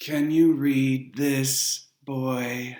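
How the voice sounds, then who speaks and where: This is a put-on character voice with a low-to-middle pitch. The intonation stays monotone and flat. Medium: read story. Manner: smooth, condescending.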